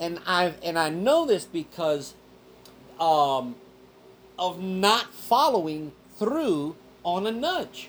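A man's high voice at a very slow pace, with long, frequent pauses. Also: lively intonation. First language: Spanish. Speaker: pastor. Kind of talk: sermon. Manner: halting.

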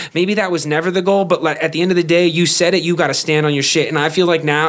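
Over noticeable background noise, a man with an American accent talks at a very fast pace. His fairly high voice stays monotone and flat. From Las Vegas, US. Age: 20s. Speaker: rapper and podcaster. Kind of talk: casual chat.

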